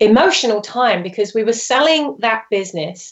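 This woman speaks with a British accent at a fairly slow pace. Her intonation is lively. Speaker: branding expert. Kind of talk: interview. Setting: phone or video call from France.

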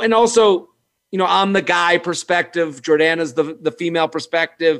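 A man with an ordinary speaking voice, fairly high pitch, ordinary pitch variation and a moderate pace, in a very clean recording with a silent background. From Massachusetts, Boston suburbs. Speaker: comedian. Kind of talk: casual interview.

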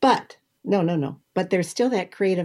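The woman's tone is dark and mellow. Her pitch varies in an ordinary way. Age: 70s. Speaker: retired food industry professional. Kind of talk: casual interview. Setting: video call.

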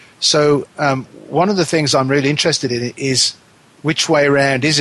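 At a moderate pace, a man talks in a normal speaking voice at a medium pitch. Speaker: radio host. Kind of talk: radio interview. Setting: internet radio show, remote guest.

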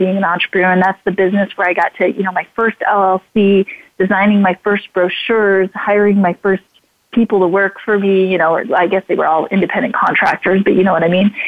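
A woman with an American accent speaks in an ordinary speaking voice at a fairly quick pace, with medium pitch, fairly even intonation and very even loudness. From Idaho, US. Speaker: speaker and radio/TV host. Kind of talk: interview.

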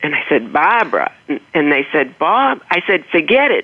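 At a fairly slow pace, a woman speaks with a slight Boston accent and very wide pitch swings. Noticeable background noise is present. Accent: slight Boston accent, non-rhotic. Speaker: author. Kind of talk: interview anecdote.

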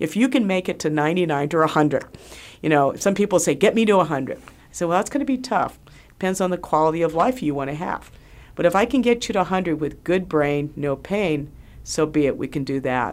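A woman with a plain, everyday voice speaks at a moderate pace and a fairly low pitch, with lively intonation. The recording is very clean, with a silent background. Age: 60s. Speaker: radio host and physician. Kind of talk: radio talk show monologue and interview. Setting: studio.

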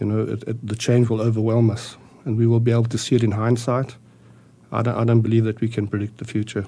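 Very fast, somewhat breathy speech from a man at medium pitch, with monotone, flat intonation. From South Africa. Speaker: panel guest. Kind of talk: panel discussion.

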